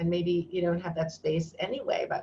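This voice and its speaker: This woman's voice is somewhat breathy and fairly low in pitch. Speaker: educator leading an online workshop. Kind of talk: online workshop presentation.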